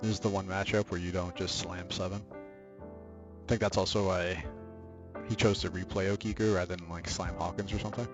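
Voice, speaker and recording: A man's very deep, low voice at a fairly quick pace, fairly even in intonation, over music in the background. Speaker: trading card game player; student. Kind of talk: casual gameplay commentary.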